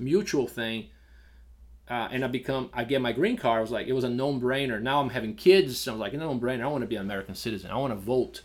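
The speaker talks at a very fast pace with a slight Brazilian accent and ordinary pitch variation. The recording is very clean with a silent background. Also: man. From Brazil (São Paulo). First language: Portuguese. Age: 40s. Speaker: restaurant and bar owner. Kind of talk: casual interview.

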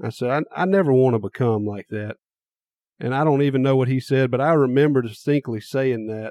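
A man in a Mississippi accent speaks at a fairly quick pace and medium pitch, his tone dark and mellow, with ordinary pitch variation and a dry, close sound with no echo. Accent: Southern US (Mississippi). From US South, small-town Mississippi. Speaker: podcast host. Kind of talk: testimony.

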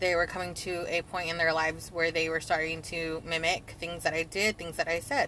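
A woman's fairly low voice with a bright, sharp tone, flat monotone intonation and a moderate pace. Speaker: guest, friend who shares scripture online. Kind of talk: casual conversation, scripture reading.

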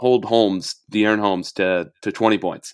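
This man has an ordinary speaking voice, fairly low pitch and ordinary pitch variation, talking at a fairly quick pace in a very clean recording with a silent background. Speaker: podcast host. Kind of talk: sports podcast discussion.

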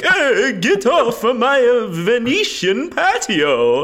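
A man puts on a character voice with an Italian accent at an extremely high pitch. He speaks very slowly over light background noise. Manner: shouting, indignant.

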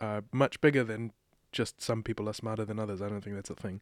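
Medium-pitched male voice with a New Zealand accent, dry and close with no echo. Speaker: playwright and director. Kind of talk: interview conversation.

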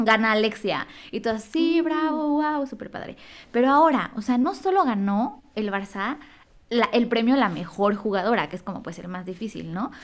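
A woman with a plain, everyday voice, fairly high in pitch, at a moderate pace, with lively intonation and big swings in loudness. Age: 20s. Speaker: podcast co-host. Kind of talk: casual chat.

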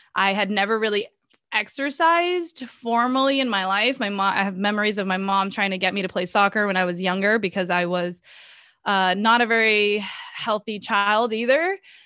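A woman with an American accent and a bright, sharp tone, medium in pitch, at a moderate pace with ordinary pitch variation. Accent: none, by her own account. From Boston, US (childhood) and Brazil (teens). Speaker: nutrition coach. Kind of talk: casual interview.

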